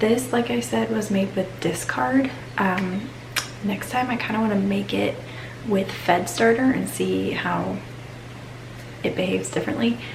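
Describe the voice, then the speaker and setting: Quiet and at a moderate pace, a woman with a very deep, low pitch speaks with very wide pitch swings and long, frequent pauses, amid audible room echo and noticeable background noise. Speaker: lifestyle vlogger. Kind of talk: casual vlog narration. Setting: outdoors in garden. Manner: talking quietly.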